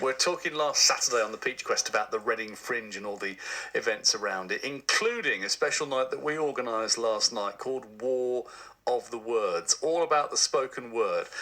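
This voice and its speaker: A man speaks at a moderate pace while noticeable background noise carries on. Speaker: radio presenter. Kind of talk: radio interview host.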